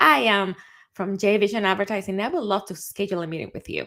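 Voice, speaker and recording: A woman speaks with a Dominican accent. Her pitch sits fairly high. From Dominican Republic. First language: Spanish. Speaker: CEO and advertising strategist. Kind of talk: casual monologue, live video. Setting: livestream. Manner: animated.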